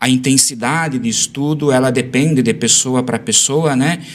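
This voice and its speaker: This is a plain, everyday voice, moving at a moderate pace and showing ordinary pitch variation. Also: man. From southern Brazil, western Santa Catarina. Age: 30s. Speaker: school administrator and former teacher. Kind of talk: podcast interview.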